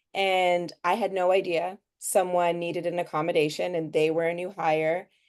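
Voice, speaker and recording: Her intonation monotone and flat, a woman speaks in a fairly low voice. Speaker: session participant, DEI onboarding presenter. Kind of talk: casual discussion in online training session. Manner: fast when nervous.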